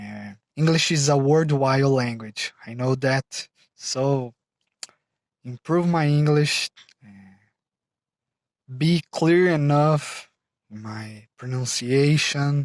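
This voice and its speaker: Speaking very slowly with long, frequent pauses, a man with a Brazilian Portuguese accent uses a fairly high pitch and ordinary pitch variation, with big swings in loudness and a dry, close sound with no echo. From Brazil, São Paulo state. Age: 20s. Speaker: mechanical engineer, English learner. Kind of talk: self-introduction video. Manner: halting, with frequent fillers.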